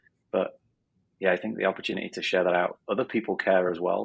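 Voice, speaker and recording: Speaking at a very fast pace, a man delivers his words in a northern English accent. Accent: northern English accent, still kept. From northern England, Sheffield. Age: 40s. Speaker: business coach. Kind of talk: interview. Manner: hesitant, many fillers.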